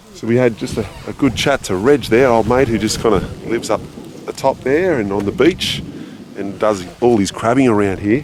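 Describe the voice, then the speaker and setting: Noticeable background noise sits behind a man with an Australian accent talking at a moderate pace and medium pitch, with ordinary pitch variation. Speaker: motorcycle adventure vlogger. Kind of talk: vlog narration. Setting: outdoors at camp. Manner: casual; quiet, keeping voice down.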